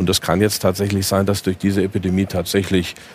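Here a man talks in a very deep, low pitch. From Germany, Eifel. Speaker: economist.

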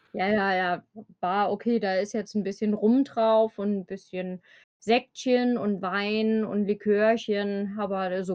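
A woman with an Eifel accent speaks at a fairly slow pace, her medium-pitched voice holding a monotone, flat intonation. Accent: regional Eifel accent, noticeable. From Germany, Eifel region. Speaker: bank clerk, guest. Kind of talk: casual chat.

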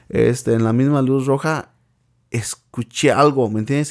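A man's medium-pitched voice, fairly slow and fairly even in intonation, on a very clean recording with a silent background. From Mexico, Michoacán. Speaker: podcast host, parent. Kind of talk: casual chat.

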